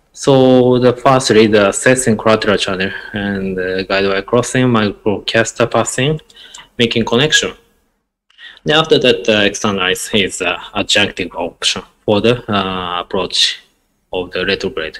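A man talks with a Japanese accent. The pitch varies in an ordinary way. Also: medium pitch for a man, moderate pace. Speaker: interventional cardiologist; guest. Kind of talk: lecture. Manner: halting. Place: home room. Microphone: earbuds.

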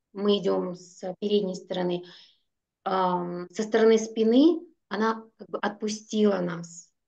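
Fairly even intonation from a woman with a dark, mellow tone

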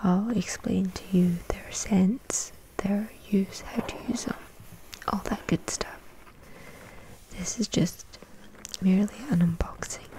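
Someone whispers in a gentle tone at a very slow pace. Long pauses come often. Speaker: unboxing creator. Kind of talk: soft unboxing chat, ASMR-like. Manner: soft-spoken, gentle ASMR voice.

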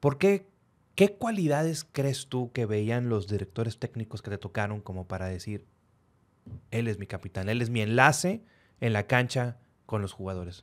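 A man speaks with lively intonation at a moderate pace. The background is quiet. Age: 30s. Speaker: podcast host; podcast host interviewer. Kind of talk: interview. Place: studio. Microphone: studio mic.

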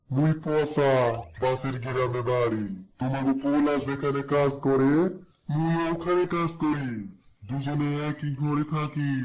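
In a cartoonish character voice, a man talks at a very slow pace with a fairly high pitch and fairly even intonation. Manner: smooth-talking, wheedling.

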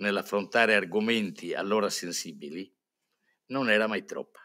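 A man's fairly low voice, bright and sharp in tone, over a quiet background. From Sardinia. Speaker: priest and newspaper editor; conference speaker, priest. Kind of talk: conference talk. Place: hall. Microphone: podium.

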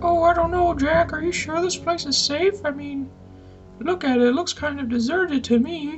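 A put-on character voice, high-pitched and at a moderate pace, with clear music in the background. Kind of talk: comic 1950s B-movie acting. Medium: machinima. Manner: anxious, doubtful.

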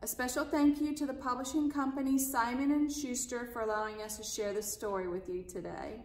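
In a room with audible echo, a woman speaks in a high voice with ordinary pitch variation and hardly any pauses. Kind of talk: storytime read-aloud and greeting. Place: home room. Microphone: phone near.

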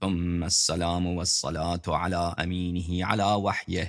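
A man talks in a very deep, low pitch with a quiet background behind him. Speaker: presenter. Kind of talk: sermon. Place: studio.

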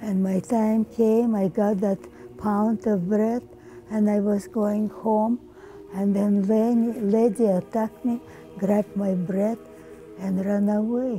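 Over faint background music, a woman talks at a very slow pace. Her loudness stays very even and her intonation fairly even. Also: medium pitch for a woman. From Ukraine. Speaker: centenarian interviewee; interviewee. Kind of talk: oral history interview. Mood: somber, recalling hardship. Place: home room.

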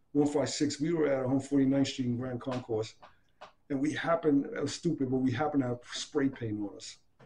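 The voice comes with a New York accent and a dark, mellow tone. It sounds somewhat breathy. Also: man. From Hunts Point, The Bronx. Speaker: graffiti writer and former army boxer; interviewee. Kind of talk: interview answer.

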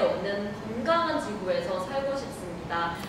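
The speech moves at a moderate pace against noticeable background noise and strong room echo. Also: woman. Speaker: program host / moderator. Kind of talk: hosted discussion program. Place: meeting room.

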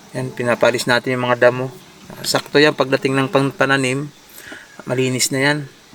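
Over noticeable background noise, the speaker moves at a fairly quick pace with monotone, flat intonation. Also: man. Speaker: vlogger. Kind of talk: casual vlog narration. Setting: outdoors on a farm field.

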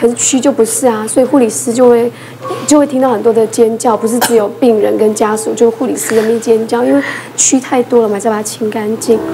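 Through noticeable background noise, a woman talks at a fairly quick pace with a fairly high pitch and ordinary pitch variation. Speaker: emergency physician; talk show panelist. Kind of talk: casual talk show chat. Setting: studio. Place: studio.

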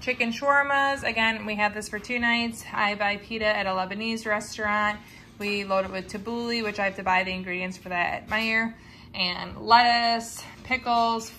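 With light background noise, a woman speaks at a moderate pace in a bright, sharp tone with fairly even intonation. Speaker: mom vlogger. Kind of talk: casual vlog chat. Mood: cheerful, amused. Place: home room. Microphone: phone near.

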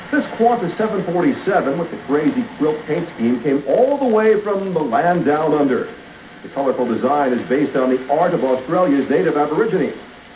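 In a room with audible echo and light background noise, a man speaks quickly in a high voice. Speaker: TV sports narrator. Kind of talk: documentary narration. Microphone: old recording.

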